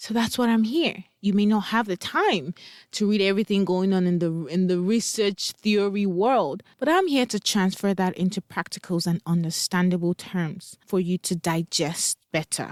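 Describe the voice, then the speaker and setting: A woman talks with a Nigerian accent and hardly any pauses. The recording is very clean with a silent background and a dry, close sound with no echo. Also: medium pitch for a woman, ordinary pitch variation, moderate pace, very even loudness. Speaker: parent coach. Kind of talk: podcast monologue.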